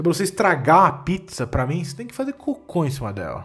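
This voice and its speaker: A man's high-pitched voice with an animated tone. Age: 20s. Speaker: comedian podcast host. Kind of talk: solo comedic monologue. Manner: animated, ranting.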